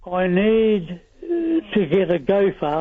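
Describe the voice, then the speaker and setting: There is noticeable background noise behind this man. He speaks with an Australian accent at a high pitch. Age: 70s. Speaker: caller. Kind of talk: radio call-in.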